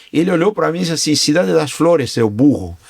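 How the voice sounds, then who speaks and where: In a normal speaking voice, a man talks at a fairly high pitch. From Argentina. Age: 60s. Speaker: business owner. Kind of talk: interview podcast.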